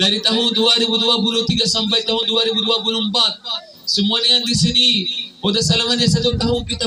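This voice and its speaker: A man speaks in an extremely high pitch, raised and projected, at a very fast pace. His loudness is very even, and background noise is noticeable. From Palestine. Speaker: imam, preacher. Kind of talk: sermon.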